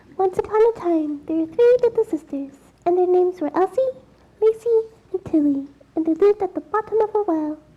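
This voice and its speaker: An extremely high-pitched, put-on character voice rattles along at a fairly quick pace. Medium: stage play.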